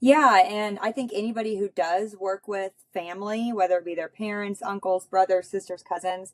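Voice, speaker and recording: With an American accent, a woman talks at a moderate pace in a medium pitch, with fairly even intonation. She has hardly any pauses, and the sound is dry and close with no echo. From US Midwest, northwest Missouri. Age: 30s. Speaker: farmer and rancher. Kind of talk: casual chat.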